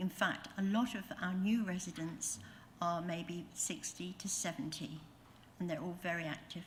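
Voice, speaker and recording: A woman speaks in a somewhat breathy voice at a fairly low pitch with ordinary variation. Her pace is moderate, and audible room echo surrounds her. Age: 70s. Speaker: public speaker at planning meeting, retirement home resident. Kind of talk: public address at council meeting. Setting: council meeting. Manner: halting.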